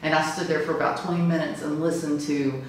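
Strong room echo around a woman with a fairly low pitch and fairly even intonation. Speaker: witness telling a ghost story. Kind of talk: interview answer. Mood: earnest, slightly awed. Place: home room. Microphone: camera far.

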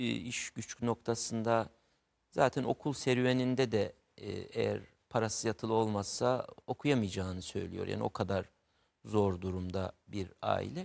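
The speaker goes at a fairly slow pace, with ordinary pitch variation. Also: man. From Turkey, Mardin; Turkey. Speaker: writer; guest. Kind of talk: interview about literature. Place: studio. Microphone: lapel.

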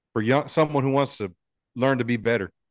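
Speech comes at a fairly quick pace with a dry sound, no echo, and a quiet background. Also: man. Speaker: sports podcast host. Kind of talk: casual interview. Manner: animated. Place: studio. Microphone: studio mic.

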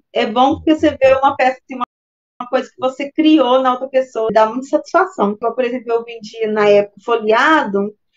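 With faint music in the background, a woman talks at a high pitch and a moderate pace. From Minas Gerais, Brazil. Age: 40s. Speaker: course student; interviewee. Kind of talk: testimony interview. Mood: relaxed, friendly. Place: home room. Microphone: video call.

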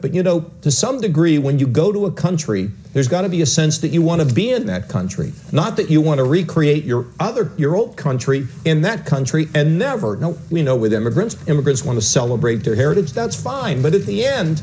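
A man's dark, mellow tone with vocal fry, very wide pitch swings, and a fairly quick pace. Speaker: interviewee, politician. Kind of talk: interview answer. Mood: earnest, reflective. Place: home room. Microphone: lapel.

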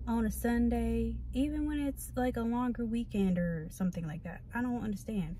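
A woman talks at a moderate pace with hardly any pauses. Audible room echo and noticeable background noise surround her voice. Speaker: vlogger. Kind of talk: casual vlog monologue. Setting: outdoors on a walk.

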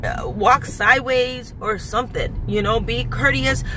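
A woman speaks in a dry sound with no echo, with noticeable background noise behind her. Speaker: vlogger. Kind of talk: casual vlog storytime rant. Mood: annoyed, animated storytelling. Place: car. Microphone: phone near.

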